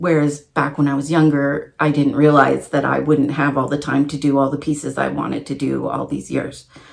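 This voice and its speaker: With vocal fry, a woman speaks at a moderate pace. Her voice is very deep and low, and her intonation is monotone and flat. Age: 40s. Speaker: crafting vlogger. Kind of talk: casual vlog monologue. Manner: loud.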